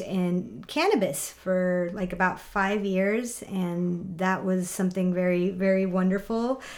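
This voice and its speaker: With audible room echo, a woman talks at a fairly slow pace with fairly even intonation, very even loudness and hardly any pauses. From Mexico, San Miguel de Allende. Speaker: graphic designer and product business co-owner. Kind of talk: casual interview chat.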